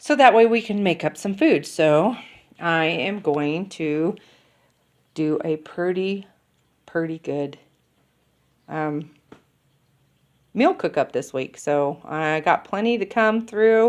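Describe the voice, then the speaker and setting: This woman talks at a very slow pace. Her speech is broken by long, frequent pauses. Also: fairly low pitch for a woman, lively intonation. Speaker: keto cooking vlogger. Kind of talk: casual grocery haul vlog. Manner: casual with many fillers.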